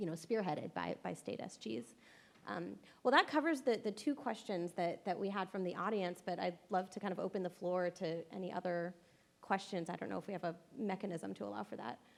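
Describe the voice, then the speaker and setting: At a fairly quick pace, a woman with a medium pitch talks with vocal fry. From California (Los Angeles). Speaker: lawyer, former state solicitor general, interviewer. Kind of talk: panel interview at a conference. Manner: casual, many fillers and repetitions.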